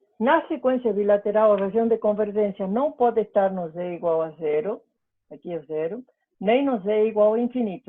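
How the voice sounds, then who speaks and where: Using an ordinary speaking voice, a woman talks with ordinary pitch variation. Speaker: university lecturer. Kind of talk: lecture. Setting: online class.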